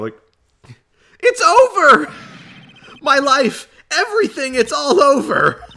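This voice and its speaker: A put-on character voice, high and whiny, moves at a fairly slow pace. Long, frequent pauses break up the speech. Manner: despairing, wailing.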